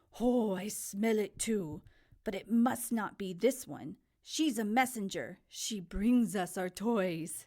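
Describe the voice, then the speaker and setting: A woman in a put-on character voice at a fairly slow pace, medium in pitch. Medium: read story. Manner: gloating, crude.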